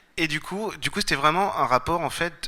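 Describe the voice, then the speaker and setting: A man talks at a fairly quick pace. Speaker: clairvoyant therapist giving a conference talk. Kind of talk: conference talk. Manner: fast; hesitant, many fillers.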